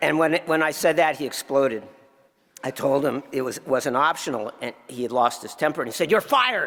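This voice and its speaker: This man has a plain, everyday voice, pitched fairly high. His pitch varies in an ordinary way. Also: fairly quick pace. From New Jersey. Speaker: tax lawyer. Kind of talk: award acceptance speech.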